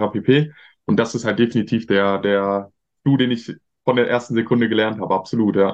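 Fairly even intonation marks this plain, everyday voice. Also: man, medium pitch for a man, fairly quick pace. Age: 20s. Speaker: marketing agency owner. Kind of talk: interview.

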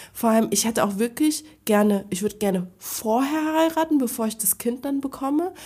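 Over noticeable background noise, a woman speaks fairly quickly at a fairly high pitch with lively intonation. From Frankfurt, Germany. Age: 30s. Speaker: podcast guest. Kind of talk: casual chat.

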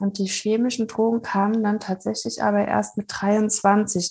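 A woman speaks at a fairly slow pace. Her voice is somewhat breathy, with a dark, mellow tone. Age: 30s. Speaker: psychology graduate and coach, former addict. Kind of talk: casual interview about addiction recovery.

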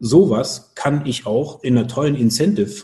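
A man's medium-pitched voice, dark and mellow in tone, somewhat breathy, with lively intonation. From Germany, Cologne area. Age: 40s. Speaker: business travel organizer. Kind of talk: interview.

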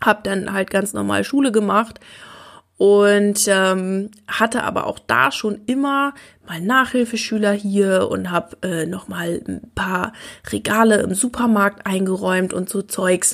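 Ordinary pitch variation marks this very slow speech. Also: woman, medium pitch for a woman. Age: 20s. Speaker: learning coach and podcast host. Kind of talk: personal storytelling monologue.

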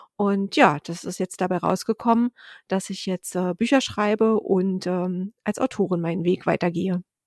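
A woman with a plain, everyday voice speaks at a moderate pace and medium pitch with fairly even intonation, in a very clean recording with a silent background and a dry, close sound with no echo. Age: 40s. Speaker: author. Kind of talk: interview.

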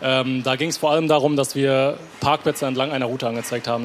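Noticeable background noise sits behind this man's voice. He talks very fast at a medium pitch. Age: 20s. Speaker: startup co-founder. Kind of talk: stage interview. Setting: stage with audience.

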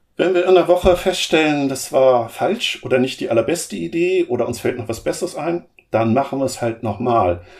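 Here a man with a fairly high pitch speaks at a moderate pace. His pitch swings very widely. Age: 50s. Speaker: program manager in energy grid transformation. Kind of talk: interview.

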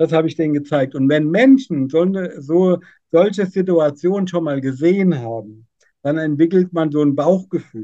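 Speaking at a moderate pace, a man uses a dark, mellow tone and a fairly high pitch with ordinary pitch variation. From central Hesse, Germany. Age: 50s. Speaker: business owner. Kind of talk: podcast interview.

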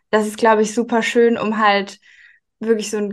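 Against a quiet background, a woman with an ordinary speaking voice talks fairly quickly at a fairly high pitch. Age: 20s. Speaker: marketing manager. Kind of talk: interview.

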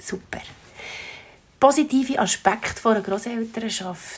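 A woman with a Swiss accent speaks at a fairly slow pace. Her pitch sits at medium. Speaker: podcast host. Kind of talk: interview.

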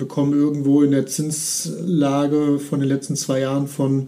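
A man at a fairly high pitch, speaking at a very slow pace. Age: 30s. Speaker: mortgage finance advisor. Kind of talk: podcast interview.

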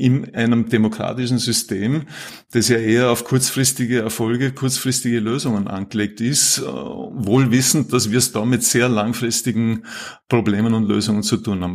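In an unremarkable speaking voice, a man keeps a moderate pace, medium pitch and fairly even intonation. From Austria, Vorarlberg. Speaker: climate policy professor. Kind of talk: casual interview.

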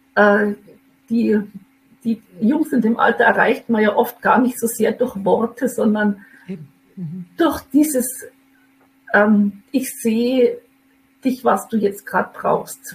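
Somewhat breathy, a woman with a fairly high pitch and ordinary pitch variation talks at a very slow pace, leaving long, frequent pauses. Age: 50s. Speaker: mother in a custody situation. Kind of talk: personal testimony. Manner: hesitant with many fillers.

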